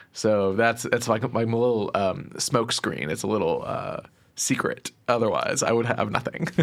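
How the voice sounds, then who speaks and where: Noticeable background noise runs under the recording. A man talks at a fairly slow pace. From Texas, Plano. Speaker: podcast interviewer, guest. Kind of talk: interview.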